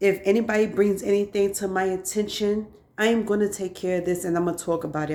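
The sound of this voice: A woman's fairly low, slightly mellow voice at a fairly quick pace, with fairly even intonation.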